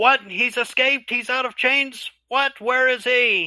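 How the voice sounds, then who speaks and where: A man uses a put-on character voice. It has an extremely high pitch and a fairly slow pace. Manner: alarmed, shouting.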